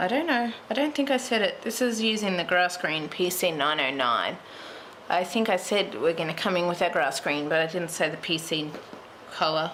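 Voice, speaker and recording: A woman speaks at a moderate pace in a fairly low voice with lively intonation. Noticeable background noise is present. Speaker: colouring tutorial creator. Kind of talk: tutorial. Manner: soft-spoken at times; muttering to herself.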